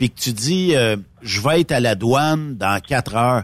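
Speaking fairly slowly, a man uses a medium-pitched, unremarkable speaking voice with lively intonation. The recording is very clean, with a silent background. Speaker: trucking radio host. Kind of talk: casual chat.

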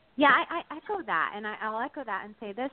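Noticeable background noise sits under a speaker with an American accent talking at a very fast pace with ordinary pitch variation. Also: woman. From New Jersey. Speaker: yoga franchise founder.

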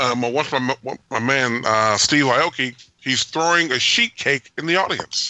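Speaking at a fairly slow pace with ordinary pitch variation, this is a plain, everyday voice. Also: man, medium pitch for a man. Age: 50s. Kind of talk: casual chat.

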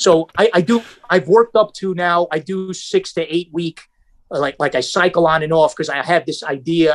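An ordinary speaking voice from a man with a fairly high pitch, at a moderate pace, in a dry, close sound with no echo. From New York area. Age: 50s. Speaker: martial artist. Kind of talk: casual chat.

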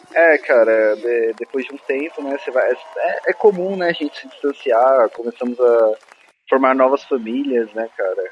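A man speaks at a moderate pace with a Paulista accent. Noticeable background noise runs underneath. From Brazil, São Paulo ABC region. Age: 20s. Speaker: podcaster. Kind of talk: casual chat. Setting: remote recording.

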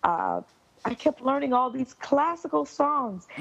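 Very wide pitch swings run through this woman's speech, which is delivered with an American accent. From US South, Miami, Florida. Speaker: classical soprano singer. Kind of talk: interview.

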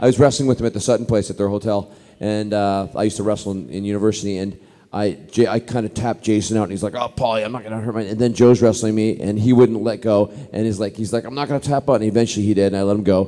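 A man speaks very fast in a fairly low pitch. His tone is dark and mellow. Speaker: actor and convention guest. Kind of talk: panel Q&A chat with audience. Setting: stage with audience at a convention. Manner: animated, friendly.

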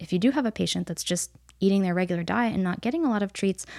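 A woman with an American accent at a very fast pace, medium pitch and ordinary pitch variation, in a very clean recording with a silent background. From upstate New York. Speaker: veterinary nutritionist. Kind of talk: casual interview.

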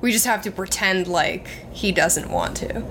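At a moderate pace, a woman speaks with medium pitch and ordinary pitch variation. Noticeable background noise can be heard. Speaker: podcaster. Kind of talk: casual chat. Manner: frank, funny.

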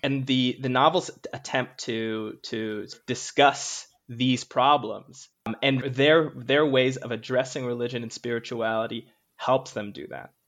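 Speaking at a fairly slow pace and medium pitch, a man shows big swings in loudness against a quiet background. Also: fairly even intonation. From Canada, Jamaican household. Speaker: doctoral student. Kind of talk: interview. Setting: remote recording.

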